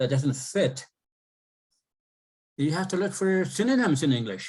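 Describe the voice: The man's tone is slightly mellow with a slightly husky edge. He keeps a moderate pace and lively intonation.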